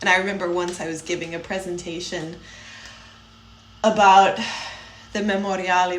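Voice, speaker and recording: A woman speaks at a moderate pace with a Chicago accent. There is noticeable background noise and audible room echo. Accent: Chicago American English. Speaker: podcast co-host. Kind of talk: casual chat.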